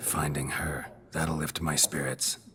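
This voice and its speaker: A man puts on a character voice, very deep and low, with monotone, flat intonation. He goes at a fairly slow pace over clear background noise. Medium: machinima. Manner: terse, flat.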